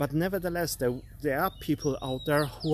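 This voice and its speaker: This man has a non-native accent. His pitch is fairly high for a man. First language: not English. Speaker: art coach. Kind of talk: live stream motivational talk. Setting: live stream. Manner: halting, many fillers.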